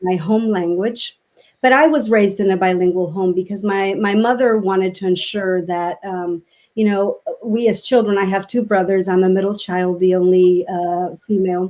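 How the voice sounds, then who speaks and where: Moderately paced speech in a Spanish accent has a dark, mellow tone and fairly even intonation. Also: woman, medium pitch for a woman. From Mexico City, Mexico. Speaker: education advocate. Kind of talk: interview. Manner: halting.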